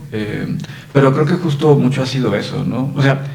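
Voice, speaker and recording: Audible room echo surrounds this recording. A man speaks at a medium pitch. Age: 40s. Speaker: Paralympic table tennis player. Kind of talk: interview. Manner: hesitant, many fillers.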